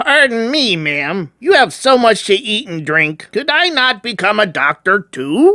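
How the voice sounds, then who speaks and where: In a put-on character voice, a man speaks high and at a moderate pace, his pitch swinging very widely. The sound is dry and close, with no echo. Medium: audio drama. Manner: simple, polite.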